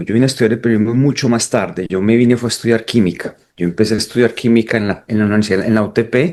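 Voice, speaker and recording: A man with a Colombian paisa accent talks at a very fast pace. His tone is dark and mellow. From Colombia, Pereira (coffee region). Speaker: documentary photographer. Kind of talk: interview.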